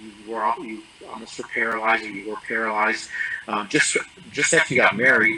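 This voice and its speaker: Over noticeable background noise, a man at medium pitch speaks at a fairly quick pace with fairly even intonation and big swings in loudness. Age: 60s. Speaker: coaching client giving testimonial. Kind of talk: interview testimony. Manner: halting, many fillers and restarts.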